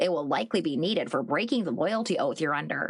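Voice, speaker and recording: Someone performs a put-on character voice at a middle pitch. The delivery is very fast. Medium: read story. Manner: formal, measured.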